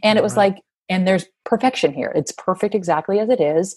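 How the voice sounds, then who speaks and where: A woman speaks with an American accent and ordinary pitch variation. The background is quiet. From US Northeast, Massachusetts. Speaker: yoga teacher and author. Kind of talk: interview conversation; reading aloud from own book.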